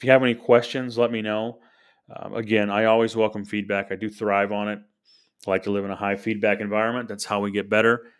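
Against a quiet background, a man in an American accent talks at a very fast pace with monotone, flat intonation. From US Midwest, St. Louis, Missouri. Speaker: sales coach, podcast host. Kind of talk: solo podcast monologue. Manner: many filler ums.

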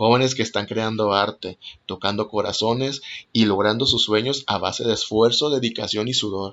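At a moderate pace, a man talks in an ordinary speaking voice, fairly low in pitch, with fairly even intonation. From Mexico. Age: 30s. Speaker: podcast host, actor and art teacher. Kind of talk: monologue introducing podcast.

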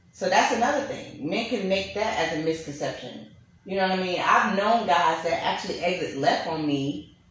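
A woman speaks at a medium pitch with lively intonation and a moderate pace. Noticeable background noise sits behind her. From Brooklyn, New York. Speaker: podcast host. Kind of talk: casual chat. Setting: studio.

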